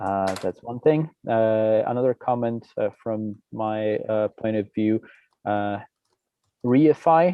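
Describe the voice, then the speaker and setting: A man with a non-native accent speaks at a very slow pace, medium in pitch with ordinary pitch variation. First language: not English. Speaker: open source contributor. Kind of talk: technical meeting discussion. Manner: halting, many fillers.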